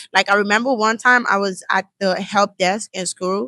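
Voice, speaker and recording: A woman with a strong Nigerian accent talks at a moderate pace with ordinary pitch variation. Her bright, sharp voice sounds dry and close with no echo. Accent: Nigerian accent, still strong. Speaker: college student. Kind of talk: casual interview chat. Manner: casual, many fillers like 'like'.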